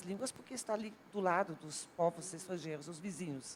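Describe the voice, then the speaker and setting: Speaking with a Dutch accent, a woman has a medium-pitched voice. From Netherlands, near German border. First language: Dutch (speaking Portuguese). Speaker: university language professor. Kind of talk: TV talk show panel discussion.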